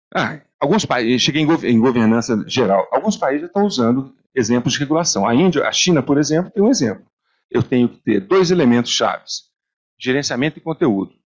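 Speaking fairly quickly in an ordinary speaking voice, a man sounds fairly high in pitch with lively intonation. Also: quiet background. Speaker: computer science professor. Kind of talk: panel talk. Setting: stage with audience. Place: meeting room.

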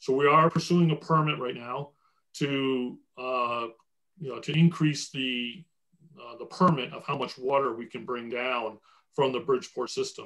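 A man's bright, sharp voice with an American accent, fairly even intonation and a moderate pace against a quiet background. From New Jersey. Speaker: water utility executive; panelist. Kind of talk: webinar presentation and Q&A. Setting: video call. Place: home room. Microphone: video call.

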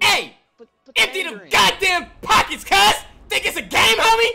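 A put-on character voice shouts at an extremely high pitch. The pace is moderate. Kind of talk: street slang. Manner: aggressive, yelling.

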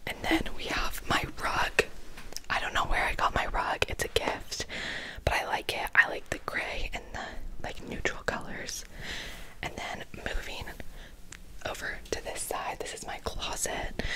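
With loud background noise behind her, a woman speaks at a fairly slow pace with long, frequent pauses. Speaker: room tour host. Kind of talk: casual vlog chat. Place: home room. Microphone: handheld.

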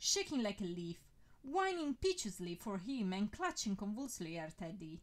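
Here the text is simply read aloud, plainly.

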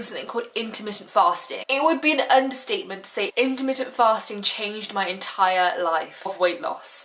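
A woman speaks with an English accent at a moderate pace. Her intonation is lively. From England. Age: 20s. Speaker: weight loss YouTuber. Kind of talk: casual talk to camera. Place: home room.

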